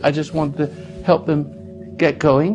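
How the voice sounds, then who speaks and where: Background music accompanies the speaker. His voice is fairly high in pitch for a man. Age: 80s+. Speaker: radio host and self-help speaker. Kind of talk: interview. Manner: halting, with frequent repetitions.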